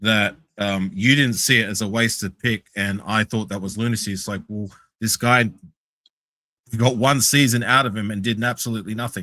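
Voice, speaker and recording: A man with an Australian accent talks at a moderate pace with fairly even intonation. His fairly low voice has a bright, sharp tone. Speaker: sports podcast panelist. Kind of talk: casual chat. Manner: halting.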